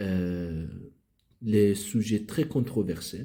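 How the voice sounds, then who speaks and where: A man talks with a non-native accent in a dark, mellow tone. His voice is somewhat breathy. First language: not French (speaking French). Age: 30s. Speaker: philosophy YouTuber. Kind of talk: channel introduction monologue. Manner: halting, many hesitations.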